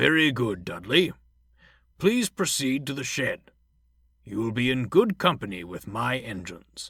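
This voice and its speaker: A man's put-on character voice at medium pitch, with very wide pitch swings, big swings in loudness and long, frequent pauses, on a very clean recording with a silent background. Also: moderate pace. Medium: read story.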